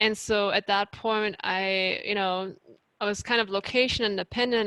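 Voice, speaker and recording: In a dry, close recording with no echo and a quiet background, a woman of medium pitch speaks at a moderate pace in a bright, sharp tone with monotone, flat intonation. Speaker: life coach. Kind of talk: presentation Q&A.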